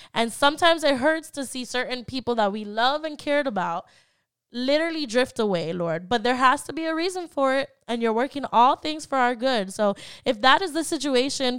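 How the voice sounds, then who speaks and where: The recording is very clean, with a silent background. A woman speaks at a high pitch and moderate pace with lively intonation. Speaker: podcast host and prayer leader. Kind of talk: fervent prayer. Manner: earnest, heartfelt; chatty, warm.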